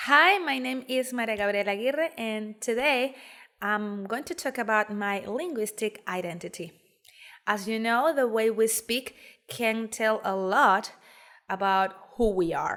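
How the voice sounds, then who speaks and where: A woman with a Spanish accent speaks at a fairly slow pace, her fairly high voice bright and sharp in tone with lively intonation. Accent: Spanish-accented English, soft r's. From Venezuela, Calabozo, Guárico. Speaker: graduate student. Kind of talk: recorded presentation.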